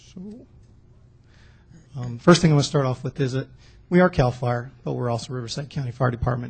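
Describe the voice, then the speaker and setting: A somewhat breathy man speaks very fast at a medium pitch, with ordinary pitch variation. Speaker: fire division chief. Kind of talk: public presentation at council meeting. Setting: city council meeting. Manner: soft-spoken, quiet.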